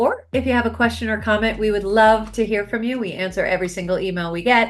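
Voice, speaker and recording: Talking at a very fast pace, a woman speaks with an American accent. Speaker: podcast host and success coach. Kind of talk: interview talk show.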